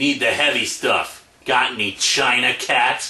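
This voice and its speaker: A man's put-on character voice at a medium pitch, fairly slow in pace, with monotone, flat intonation. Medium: solo performance. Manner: brooding, gruff.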